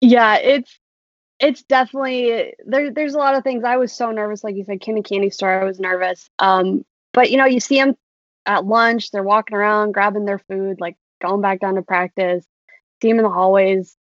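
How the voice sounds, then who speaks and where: Moving at a moderate pace, a woman with an American accent has a fairly high pitch and ordinary pitch variation. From US Midwest, Iowa (Urbandale). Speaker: sports team graphic designer. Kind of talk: casual interview.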